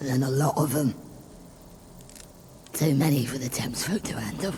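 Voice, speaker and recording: Over light background noise, a man puts on a raspy character voice at a medium pitch and a moderate pace. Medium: machinima. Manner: chuckling, folksy.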